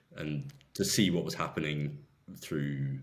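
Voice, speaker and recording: A man's very deep, low voice with fairly even intonation, a moderate pace, and audible room echo. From southwest England. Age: 20s. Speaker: volunteer aid worker. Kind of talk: interview.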